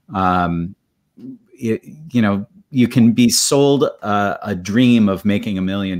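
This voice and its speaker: A man's fairly low voice with ordinary pitch variation against a quiet background. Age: 40s. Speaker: podcast host, drummer; podcast host. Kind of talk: interview. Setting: video call. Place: home room.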